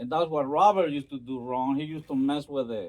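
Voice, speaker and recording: A man with a Spanish accent, fairly high in pitch, at a moderate pace. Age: 60s. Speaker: storyteller vlogger. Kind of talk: casual storytelling monologue. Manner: hesitant, many fillers.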